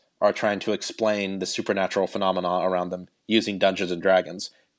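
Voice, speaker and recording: A man with a Midwestern accent at a fairly quick pace, against a quiet background. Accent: General American (Midwest). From Cleveland, Ohio, US Midwest. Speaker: radio producer. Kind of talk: casual interview.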